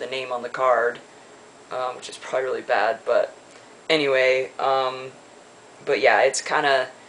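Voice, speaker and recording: Moderately paced male speech against noticeable background noise. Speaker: video blogger. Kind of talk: casual vlog update. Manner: halting with many fillers.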